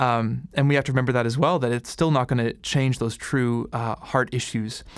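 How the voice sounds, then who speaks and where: A man with a plain, everyday voice speaks at a medium pitch and a moderate pace, his intonation fairly even. The recording is very clean, with a silent background. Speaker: podcast interviewer. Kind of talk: casual interview conversation.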